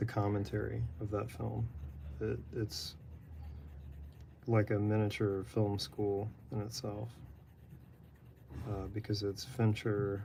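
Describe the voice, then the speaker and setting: With an American accent, a man speaks at a very slow pace, leaving long, frequent pauses. His voice is fairly low, somewhat breathy and dark and mellow in tone. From Texas. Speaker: artist live-streaming drawing. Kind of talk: casual live-stream chat while drawing. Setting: apartment, live stream. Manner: monotone.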